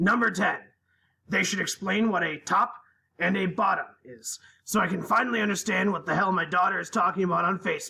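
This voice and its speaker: Putting on a character voice, a man projects a raised, raspy, high-pitched voice at a fairly quick pace. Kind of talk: deadpan dramatic reading. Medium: read story. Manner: earnest, matter-of-fact list reading.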